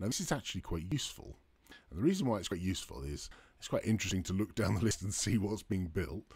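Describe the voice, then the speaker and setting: On a very clean recording with a silent background, a man with a very deep, low pitch and vocal fry uses lively intonation. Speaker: developer advocate hosting a live stream. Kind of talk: live tutorial stream. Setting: live stream with chat.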